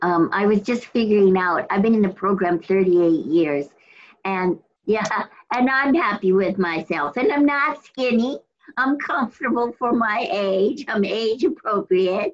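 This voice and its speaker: Using a plain, everyday voice at medium pitch, a woman speaks fairly slowly with lively intonation and very even loudness. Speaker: meeting participant. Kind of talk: casual sharing.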